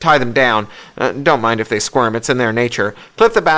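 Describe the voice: Plain reading aloud. The pitch varies in an ordinary way.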